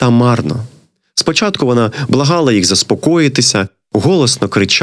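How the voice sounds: A natural reading voice with lively intonation over a quiet background.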